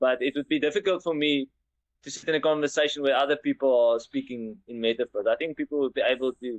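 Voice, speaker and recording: Very fast speech comes from a man with a South African accent and ordinary pitch variation. He has a fairly high pitch. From South Africa, Western Cape farming community. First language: Afrikaans. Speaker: engineer. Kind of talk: interview. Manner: halting, with many repeated words.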